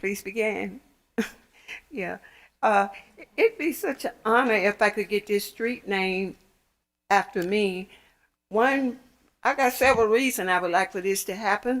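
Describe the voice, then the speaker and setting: In a very clean recording with a silent background, a woman with a Memphis accent speaks at a fairly slow pace with a fairly high pitch, ordinary pitch variation and long, frequent pauses. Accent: Southern US (Memphis). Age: 80s+. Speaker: crossing guard making a public request. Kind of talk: public comment at county meeting. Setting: county commission chamber.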